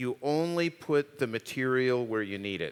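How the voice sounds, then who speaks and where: A man with an unremarkable speaking voice at medium pitch speaks with lively intonation in a dry, close sound with no echo. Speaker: architect and designer, professor. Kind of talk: panel Q&A on stage.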